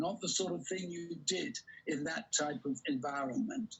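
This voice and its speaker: Noticeable background noise sits behind this recording. A man talks at a moderate pace with a high pitch. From England. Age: 70s. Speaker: network marketing speaker. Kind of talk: motivational talk.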